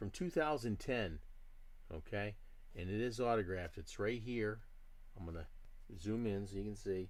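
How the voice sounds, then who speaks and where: A man speaks at a moderate pace in a fairly low voice, with ordinary pitch variation. There are long, frequent pauses, and audible room echo surrounds him. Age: 60s. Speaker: diecast model hobbyist streamer. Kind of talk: live stream chat. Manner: casual, conversational.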